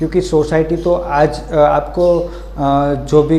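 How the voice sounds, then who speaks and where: There is noticeable background noise and audible room echo. A man speaks with a Gujarati accent. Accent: Gujarati-accented Hindi. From Gujarat, India (Vadodara). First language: Gujarati (speaking Hindi). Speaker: motivational video creator. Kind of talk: motivational talk. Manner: halting, many fillers.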